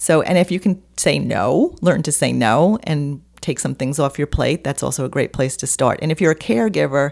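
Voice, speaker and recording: On a very clean recording with a silent background, a woman speaks with vocal fry at a very deep, low pitch. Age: 60s. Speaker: holistic health coach and author. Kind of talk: interview.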